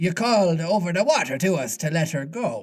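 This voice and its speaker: A man's put-on character voice, high-pitched and at a fairly quick pace. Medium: read story.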